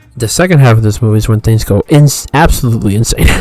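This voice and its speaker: A man's voice, with ordinary pitch variation, is heard against music in the background. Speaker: movie reviewer. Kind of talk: casual review.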